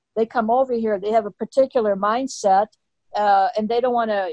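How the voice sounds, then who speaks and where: A woman with a plain, everyday voice and an American accent speaks at a fairly quick pace with ordinary pitch variation, her dry, close sound carrying no echo over a quiet background. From US (came from England at 4). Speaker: citizenship test instructor. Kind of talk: interview.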